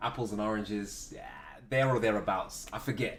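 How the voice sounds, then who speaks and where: A man's somewhat breathy voice. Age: 20s. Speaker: live streamer. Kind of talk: casual chat. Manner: animated.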